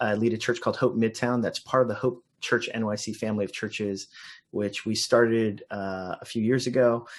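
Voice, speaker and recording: At a fairly quick pace, a man with an American accent speaks in a normal speaking voice. His pitch is medium and his intonation fairly even. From Los Angeles, US. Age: 40s. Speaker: pastor. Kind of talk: interview.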